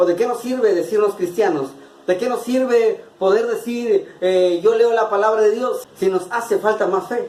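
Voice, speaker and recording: A man with an extremely high pitch speaks at a fairly slow pace, his voice swinging very widely in pitch over noticeable background noise. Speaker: preacher delivering a monologue-sermon. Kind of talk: sermon / preaching monologue.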